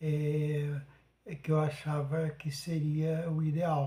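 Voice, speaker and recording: Dark, mellow tones from a man pitched fairly high. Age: 70s. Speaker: podcast host. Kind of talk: monologue. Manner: halting, many fillers.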